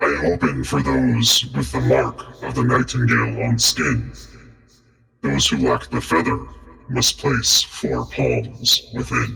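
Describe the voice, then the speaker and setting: Using a raspy, put-on character voice, a man speaks very deep and low at a fairly slow pace with a slight echo. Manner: ominous.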